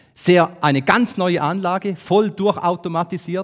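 Against a quiet background, a man speaks at a very slow pace. His pitch is high, with ordinary variation. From Switzerland, St. Gallen; Switzerland. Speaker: business consultant, speaker; conference speaker. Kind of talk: talk to an audience. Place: hall. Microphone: headset.

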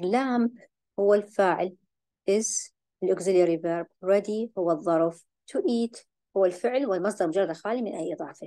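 A woman with a dark, mellow tone speaks at a moderate pace in a medium pitch, with ordinary pitch variation. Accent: Iraqi. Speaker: English teacher. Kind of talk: lecture.

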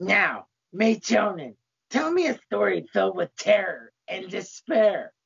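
A raspy, put-on character voice is heard. The pace is fairly slow. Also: woman. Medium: stage play. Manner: cheerful, folksy, sudden rage.

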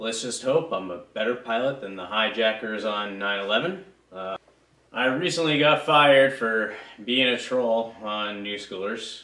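With a bright, sharp tone and strong room echo, a man speaks fairly low and fairly slowly, his pitch varying in an ordinary way.

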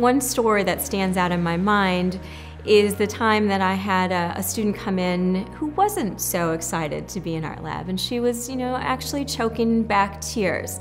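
The speech moves at a moderate pace with hardly any pauses. Faint music plays in the background. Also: woman. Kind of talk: interview answer. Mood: warm, heartfelt. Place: home room.

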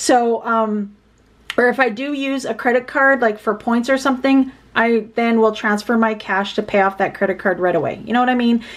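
A woman speaks in a fairly high voice with fairly even intonation. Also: moderate pace. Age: 40s. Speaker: budgeting YouTuber; budget vlogger. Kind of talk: casual vlog tutorial. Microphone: phone near.

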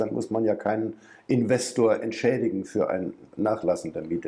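At a fairly quick pace, a man talks in a dark, mellow tone with ordinary pitch variation. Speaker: journalist interviewer. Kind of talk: interview questions. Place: studio.

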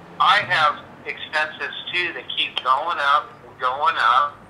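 A man speaks very slowly in a fairly high voice with fairly even intonation over noticeable background noise. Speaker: landlord. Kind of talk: phone argument.

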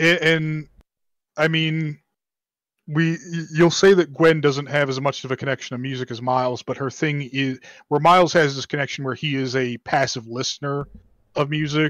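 Recorded dry with no echo and a quiet background, a man speaks at a moderate pace with fairly even intonation and long, frequent pauses. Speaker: pop culture show co-host. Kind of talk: casual chat. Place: home room. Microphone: video call.

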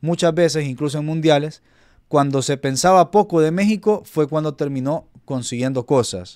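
A man with an ordinary speaking voice and a fairly high pitch talks at a moderate pace with ordinary pitch variation against a quiet background. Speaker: football YouTuber. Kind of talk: casual commentary to camera. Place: home room.

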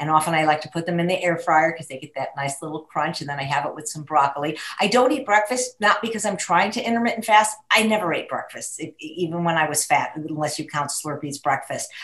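With lively intonation and big swings in loudness, a woman of fairly low pitch talks at a very fast pace with hardly any pauses. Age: 60s. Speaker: plant-based chef and co-host; interview guest. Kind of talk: live webinar panel discussion. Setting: video call. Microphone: webcam.

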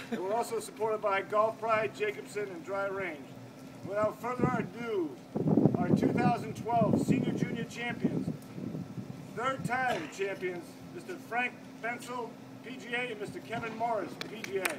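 A man talks with ordinary pitch variation and long, frequent pauses. Loud background noise fills the recording. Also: moderate pace. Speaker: golf club host. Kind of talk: awards announcement. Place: street. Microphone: camera far.

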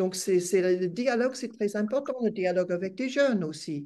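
At a moderate pace, a woman speaks with an English accent. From Australia. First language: English (speaking French). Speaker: retired academic and feminist activist. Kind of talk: webinar talk; webinar talk, interview answer. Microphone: video call.

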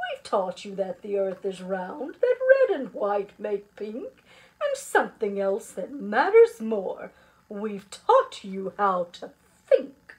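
In a put-on character voice, a woman speaks slowly with very wide pitch swings and a slightly husky edge. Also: medium pitch for a woman.

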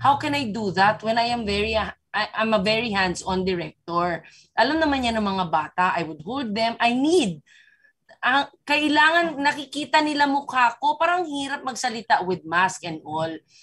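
Against a quiet background, a woman with a fairly high voice speaks in an animated tone at a moderate pace, her pitch swinging very widely. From Philippines. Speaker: film director. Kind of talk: press conference Q&A. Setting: video call. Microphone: video call.

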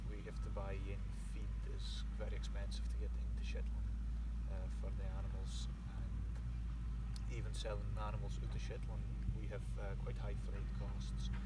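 Loud background noise sits behind a man speaking at a moderate pace with long, frequent pauses. The sound is dry with no echo. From Shetland. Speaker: crofter. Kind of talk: interview. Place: open country.

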